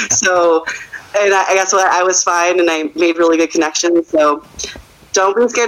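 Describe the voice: A woman's fairly low voice at a moderate pace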